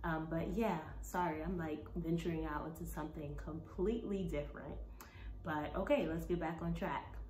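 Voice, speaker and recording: With an American accent, a woman talks at an even, middling speed while clearly audible noise sits behind her. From Brooklyn, New York. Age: 20s. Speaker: plant-based nutritionist and Zumba instructor. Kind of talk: casual talk to camera.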